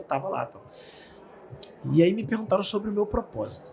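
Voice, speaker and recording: A man talks at a very fast pace with a Rio de Janeiro accent. His intonation is lively. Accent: carioca. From Rio de Janeiro, Brazil. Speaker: speaker and author. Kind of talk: interview. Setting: studio.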